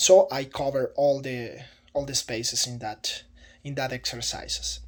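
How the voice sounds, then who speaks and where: In a very clean recording with a silent background, a man speaks at a fairly slow pace in a fairly high pitch. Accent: Spanish. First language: Spanish. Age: 30s. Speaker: teaching job applicant. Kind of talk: video self-introduction for job application. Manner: halting, with repetitions and fillers.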